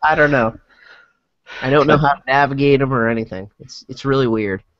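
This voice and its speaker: Big swings in loudness run through a man's fairly quick speech. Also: medium pitch for a man. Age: 30s. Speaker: podcast panelist. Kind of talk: casual chat. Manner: animated.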